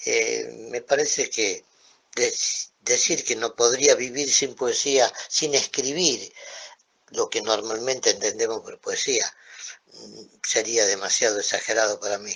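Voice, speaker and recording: A man speaking at a very slow pace, with big swings in loudness. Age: 70s. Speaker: poet. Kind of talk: interview. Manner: halting.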